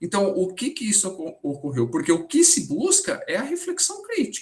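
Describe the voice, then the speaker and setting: The man's pitch is extremely high, swinging very widely up and down. He speaks at a moderate pace. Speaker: mathematics education researcher. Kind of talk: lecture Q&A. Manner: halting; soft-spoken.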